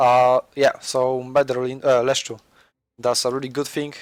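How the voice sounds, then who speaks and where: A man speaks at a moderate pace with a Polish accent, his pitch medium and his intonation flat and monotone. The recording is very clean, with a silent background. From Poland. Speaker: gaming commentator. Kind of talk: gameplay commentary. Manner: halting.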